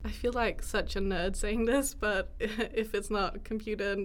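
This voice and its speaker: Speaking at a fairly slow pace, a woman with a fairly high pitch has an unremarkable speaking voice. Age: 20s. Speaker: student podcast co-host. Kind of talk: casual chat.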